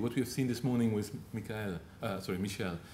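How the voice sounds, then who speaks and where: In a Luxembourgish accent, a man with a somewhat breathy, dark, mellow tone speaks amid audible room echo. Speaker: telecom business speaker. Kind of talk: Q&A answer; conference presentation. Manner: halting, with frequent repetitions.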